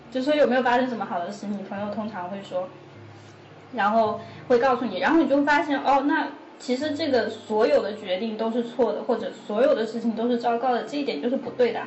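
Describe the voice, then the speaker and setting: A woman talks at a fairly quick pace in a fairly high pitch, with ordinary pitch variation. Audible room echo and noticeable background noise surround her voice. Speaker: psychology PhD student and counselor. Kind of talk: casual chat.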